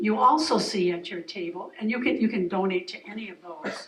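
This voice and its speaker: A woman at a moderate pace with an American accent and lively intonation, over noticeable background noise. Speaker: foundation board member. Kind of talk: speech at community event. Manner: loud.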